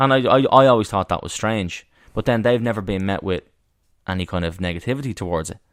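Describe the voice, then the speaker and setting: A man talks at a very fast pace in a fairly low pitch. The recording is very clean, with a silent background. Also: ordinary pitch variation. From Ireland, Dublin (Tallaght). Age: 30s. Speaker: actor and writer. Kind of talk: casual chat. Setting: podcast recorded on a walk, outdoors.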